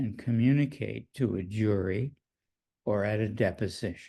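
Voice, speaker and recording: Very slowly, a man talks in a dark, mellow tone with ordinary pitch variation. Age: 90s. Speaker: psychoanalyst. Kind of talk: interview.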